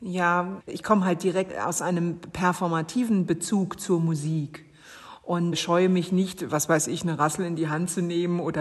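With a normal speaking voice, a woman talks at a moderate pace, fairly low in pitch and fairly even in intonation. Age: 40s. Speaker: poet. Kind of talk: interview.

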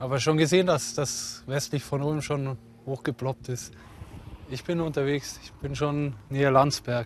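A man speaks in a normal speaking voice, fairly high-pitched, at a fairly slow pace, with fairly even intonation but big swings in loudness. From Upper Bavaria, Fürstenfeldbruck. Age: 30s. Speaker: amateur storm chaser, tradesman. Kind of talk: casual chat.

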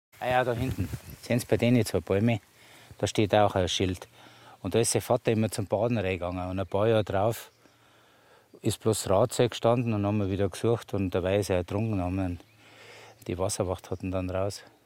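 A man with a fairly low pitch talks at a fairly quick pace with fairly even intonation and long, frequent pauses. The recording is very clean, with a silent background. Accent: Upper Bavarian. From Bavaria, Mittenwald. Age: 60s. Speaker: master sculptor. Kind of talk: on-site interview.

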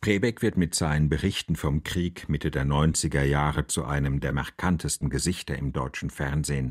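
Very deep, low speech from a man, moderately paced, with ordinary pitch variation. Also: dry, close sound with no echo. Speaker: radio journalist and reporter. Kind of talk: scripted narration.

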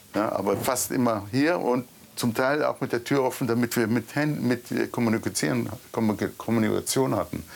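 A man speaks at a moderate pace with a medium pitch. His loudness stays very even, and his pitch varies in an ordinary way. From Israel, kibbutz near Gaza. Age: 40s. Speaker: massacre survivor. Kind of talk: on-location interview. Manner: halting.

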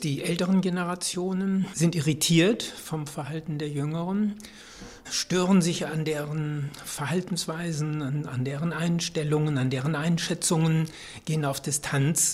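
Fairly even in intonation and fairly high in pitch, a man speaks at a fairly slow pace over noticeable background noise. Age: 70s. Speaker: social scientist and youth researcher. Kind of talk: interview.

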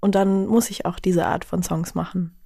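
Recorded very cleanly with a silent background, a woman talks at a fairly quick pace in a normal speaking voice with medium pitch. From Bavaria, Chiemsee. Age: 20s. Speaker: singer-songwriter. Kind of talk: casual chat. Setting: studio.

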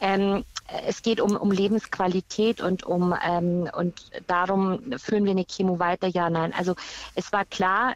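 A woman with an unremarkable speaking voice talks at a fairly slow pace and medium pitch, with very even loudness and fairly even intonation, recorded dry and close with no echo. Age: 40s. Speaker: caller, cancer patient and teacher. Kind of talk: phone-in testimony.

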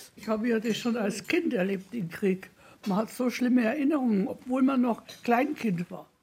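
Noticeable background noise sits behind a woman whose fairly high voice moves at a moderate pace with ordinary pitch variation. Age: 80s+. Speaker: senior centre visitor. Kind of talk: interview.

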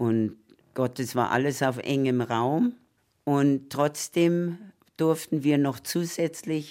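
Recorded very cleanly against a silent background, a woman with a very deep, low pitch and a dark, mellow tone speaks with ordinary pitch variation. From Danzig, moved to Munich as a child in 1947. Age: 80s+. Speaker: former children's choir singer. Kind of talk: interview reminiscence. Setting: at her home.

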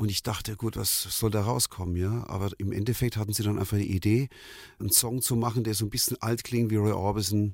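With an ordinary speaking voice, a man talks at a fairly quick pace and fairly low pitch, his intonation fairly even, in a very clean recording with a silent background. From Germany, Nuremberg (Franconia). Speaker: pop singer. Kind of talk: interview storytelling.

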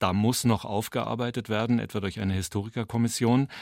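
Very clean recording with a silent background, featuring a man in a plain, everyday voice. His pitch is fairly low and his intonation fairly even. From western Germany. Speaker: radio host. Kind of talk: radio interview.

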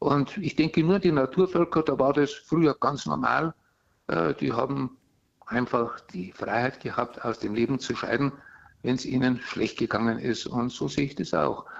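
Man's voice with vocal fry, medium pitch, lively intonation and moderate pace. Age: 70s. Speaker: caller. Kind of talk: call-in. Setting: phone call. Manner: halting.

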